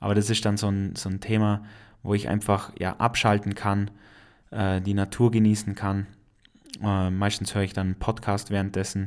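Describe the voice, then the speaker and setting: A man with an Allgäu accent, fairly low and monotone with flat intonation, at a moderate pace with long, frequent pauses, in a very clean recording with a silent background. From Allgäu, Bavaria. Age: 20s. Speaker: podcaster and industrial mechanic. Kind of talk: casual monologue.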